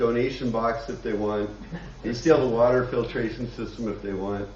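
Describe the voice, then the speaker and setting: A man with an American accent at a medium pitch and moderate pace, fairly even in intonation, amid audible room echo and noticeable background noise. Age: 70s. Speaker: congregation member, community organizer. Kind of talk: announcement.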